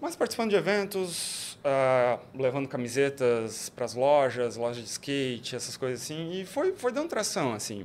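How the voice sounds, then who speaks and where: A man with a fairly high pitch and an unremarkable speaking voice talks at a moderate pace with lively intonation and hardly any pauses. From Brazil, Joinville (Santa Catarina). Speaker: entrepreneur, international relations graduate. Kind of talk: casual interview chat.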